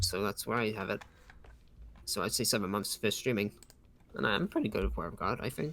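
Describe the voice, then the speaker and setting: A man with a bright, sharp tone, fairly low pitch and vocal fry talks at a fairly quick pace with long, frequent pauses. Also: ordinary pitch variation. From UK. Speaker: streamer. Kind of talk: casual chat.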